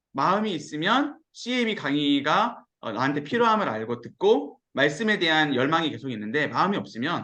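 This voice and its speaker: This man's animated, bright, sharp voice sits fairly high for a man, with very wide pitch swings and vocal fry. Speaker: pastor. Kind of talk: sermon-style Bible lecture. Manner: fast when excited.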